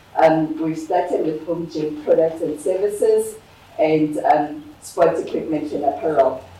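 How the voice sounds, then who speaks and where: Noticeable background noise and audible room echo surround a woman's voice. She speaks at a fairly slow pace. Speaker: business owner and workshop speaker. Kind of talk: workshop presentation.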